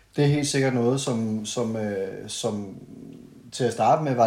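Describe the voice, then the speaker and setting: Very slow, fairly even speech from a man at medium pitch, dark and mellow in tone, with audible room echo. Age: 30s. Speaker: podcast guest, friend of host. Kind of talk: casual chat. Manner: halting, many fillers.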